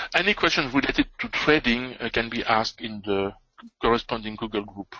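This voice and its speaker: With a strong French accent, a man talks at a fairly quick pace. His pitch is medium with ordinary variation. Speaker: trading educator. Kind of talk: live trading webinar. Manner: hesitant, many fillers.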